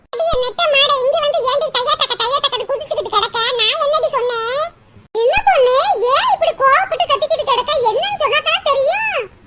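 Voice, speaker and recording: A woman does a cartoonish character voice at an extremely high pitch, with lively intonation. She keeps a moderate pace and very even loudness. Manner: defensive, evasive.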